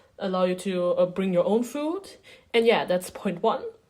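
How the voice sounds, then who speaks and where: In a German accent, a woman talks at a moderate pace with a dark, mellow tone. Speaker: beginner video creator. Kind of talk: casual tutorial vlog. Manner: halting, many fillers.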